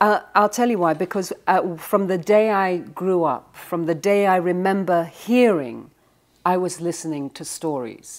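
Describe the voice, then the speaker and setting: On a very clean recording with a silent background, a woman with an English accent speaks at a fairly slow pace and medium pitch with ordinary pitch variation. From England. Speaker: author. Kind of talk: interview.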